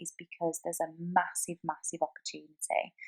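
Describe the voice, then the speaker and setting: In a British accent, a woman with a fairly low voice speaks at a very fast pace over music in the background. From UK. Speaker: online business entrepreneur. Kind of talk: sales pitch. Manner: enthusiastic.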